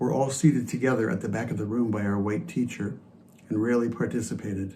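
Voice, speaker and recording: A man speaks at a medium pitch. Room echo is audible in the recording. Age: 70s. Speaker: church member sharing reflection. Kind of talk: personal testimony in worship service.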